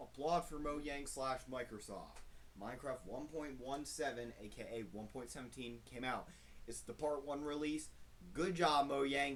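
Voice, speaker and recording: The speech moves at a moderate pace with fairly even intonation. Audible room echo surrounds it. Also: man. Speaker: gaming YouTuber. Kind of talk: gameplay commentary. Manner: loud.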